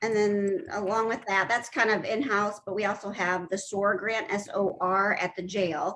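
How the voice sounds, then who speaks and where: Using a normal speaking voice, a woman talks at medium pitch and a moderate pace with fairly even intonation and hardly any pauses. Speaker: council member. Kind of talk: meeting discussion.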